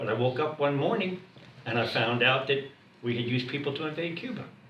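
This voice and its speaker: Audible room echo surrounds a man with an American accent. He talks at a fairly quick pace with ordinary pitch variation. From United States. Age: 70s. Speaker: retired government servant and veteran. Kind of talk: group discussion. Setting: room with a group.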